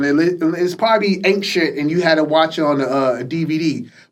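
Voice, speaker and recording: Talking at a very fast pace with ordinary pitch variation, a man is heard amid audible room echo. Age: 40s. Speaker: podcast host. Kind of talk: casual chat. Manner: halting.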